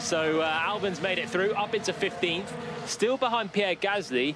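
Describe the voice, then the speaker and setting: Over noticeable background noise, a man raises and projects his high-pitched voice in an animated tone, the sound dry with no echo. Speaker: race commentator. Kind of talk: live race commentary. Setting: radio broadcast. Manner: animated, quick, urgent play-by-play. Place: booth.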